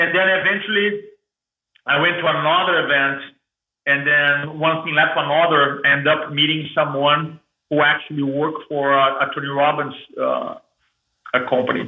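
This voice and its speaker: With a strong Brazilian accent, the speaker goes at a moderate pace, leaving long, frequent pauses in audible room echo. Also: man, fairly high pitch for a man. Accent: thick Brazilian. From Brazil, Porto Alegre. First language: Portuguese. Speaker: motivational speaker. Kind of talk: podcast interview storytelling. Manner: animated.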